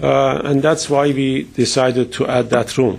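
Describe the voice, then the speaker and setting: A man with a medium pitch talks at a fairly slow pace over noticeable background noise. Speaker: architect presenting to a design review board. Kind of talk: public meeting presentation. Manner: halting, with fillers.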